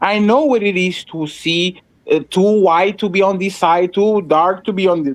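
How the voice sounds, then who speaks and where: Here a man talks in a high pitch with a Russian accent. His pace is moderate. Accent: Russian-sounding. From Portugal. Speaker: panelist. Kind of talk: heated debate.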